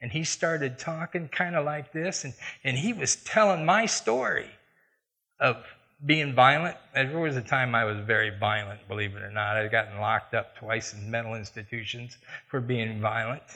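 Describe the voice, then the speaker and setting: Here a man talks with a Midwestern American accent and lively intonation in a bright, sharp tone. The background is quiet. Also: medium pitch for a man, moderate pace. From US Midwest, Iowa. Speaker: church elder, lay preacher. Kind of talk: sermon with personal testimony. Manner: conversational.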